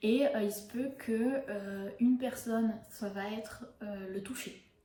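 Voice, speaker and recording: A woman speaks at a fairly high pitch with ordinary pitch variation. Noticeable background noise and audible room echo are present. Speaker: book reviewer and yoga youtuber. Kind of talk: casual book review monologue. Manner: hesitant, many fillers.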